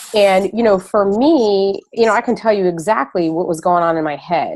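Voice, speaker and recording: This woman has an ordinary speaking voice at medium pitch. She talks at a moderate pace with lively intonation. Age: 40s. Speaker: fitness business coach. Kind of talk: Q&A on a group call. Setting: conference call.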